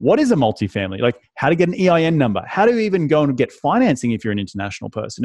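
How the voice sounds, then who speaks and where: A man talks at a very fast pace with an Australian accent. The sound is dry and close, with no echo. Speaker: real estate investor and author.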